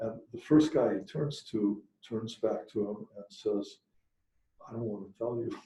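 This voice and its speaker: A man's medium-pitched, somewhat breathy voice, dark and mellow in tone, at a fairly slow pace with ordinary pitch variation and big swings in loudness. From Hungary. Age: 70s. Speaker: professor. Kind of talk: speech at a celebration. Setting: room with live audience. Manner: hesitant with repeated words.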